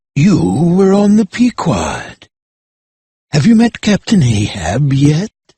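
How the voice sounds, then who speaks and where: The speaker uses a put-on character voice with very wide pitch swings and very even loudness. The pace is fairly slow, with long, frequent pauses. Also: man, high pitch for a man. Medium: read story. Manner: ominous, foreboding.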